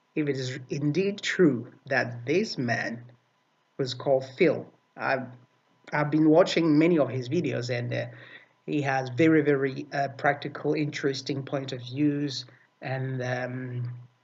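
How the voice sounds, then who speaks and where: Speaking with a non-native accent, a man talks at a fairly slow pace in a medium pitch, somewhat breathy and with fairly even intonation. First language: not English. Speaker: video commentator. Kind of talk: video response commentary. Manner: halting, many fillers and repetitions.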